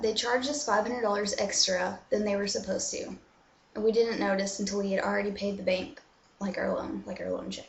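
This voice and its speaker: A woman with an American accent talks at a moderate pace, her voice carrying audible room echo over noticeable background noise. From USA. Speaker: vlogger. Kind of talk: casual chat. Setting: bathroom. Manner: filler-heavy. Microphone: laptop mic, echo.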